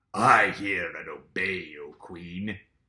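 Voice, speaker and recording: A man's put-on character voice, growling and fairly low in pitch. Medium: read story.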